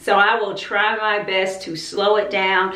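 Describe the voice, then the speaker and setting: A woman with a medium pitch is heard with audible room echo and noticeable background noise. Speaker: homeschooling YouTuber. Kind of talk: casual vlog talk. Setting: outdoors. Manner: animated.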